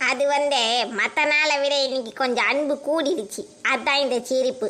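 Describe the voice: A woman's cartoonish character voice, high-pitched and fairly slow, with very even loudness.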